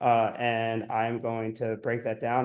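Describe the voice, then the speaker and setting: A man is talking. His voice is at a medium pitch. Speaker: accounting business coach. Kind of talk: live stream chat. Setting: livestream. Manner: casual, filler-heavy.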